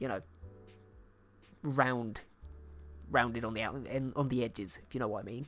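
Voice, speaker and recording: Music plays in the background as someone with a British accent speaks at a fairly quick pace. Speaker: digital artist streamer. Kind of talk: casual live-stream chat while painting. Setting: live stream.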